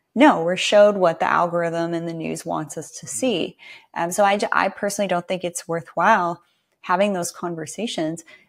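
A woman speaks at a fairly quick pace in a fairly low pitch, with ordinary pitch variation and big swings in loudness over a quiet background. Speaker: podcast host and nurse; podcast host. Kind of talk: interview conversation. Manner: soft-spoken, does not raise voice. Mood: warm, engaged. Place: home room.

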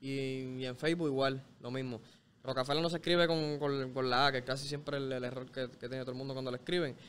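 A man's monotone, flat delivery at a very fast pace. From Puerto Rico, Bayamón area; Puerto Rico. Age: 20s. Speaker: reggaeton artist; interview guest. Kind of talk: casual interview chat. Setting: studio. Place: street. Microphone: studio mic.

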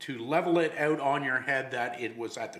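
A man's voice with ordinary pitch variation, noticeable noise in the background. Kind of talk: tutorial. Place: workshop.

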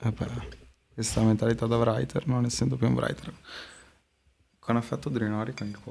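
A man speaks at a moderate pace with a dark, mellow tone. His ordinary pitch variation is broken by long, frequent pauses. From Modena, Italy; Italy. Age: 20s. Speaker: street artist; guest. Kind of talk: casual interview; interview answer. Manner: hesitant, many fillers. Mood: relaxed, chatty. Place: studio. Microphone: studio mic.

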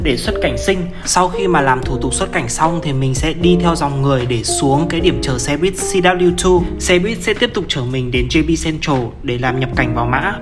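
With music in the background, the speaker moves at a moderate pace and hardly pauses at all. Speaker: travel vlogger. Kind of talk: travel vlog narration.

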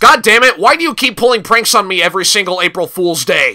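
Using a put-on character voice, a man talks very fast at a high pitch. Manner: sarcastic, exasperated.

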